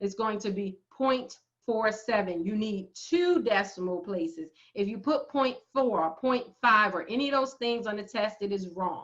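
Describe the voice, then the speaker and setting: With an American accent, a woman speaks at a moderate pace in a fairly high pitch with an animated tone and lively intonation. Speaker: math professor. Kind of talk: lecture. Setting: screen-share video lecture.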